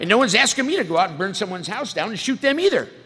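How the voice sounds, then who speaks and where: A man with an American accent talks in very wide pitch swings over noticeable background noise. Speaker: recovering alcoholic speaker, military veteran. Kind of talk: testimony. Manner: casual, animated.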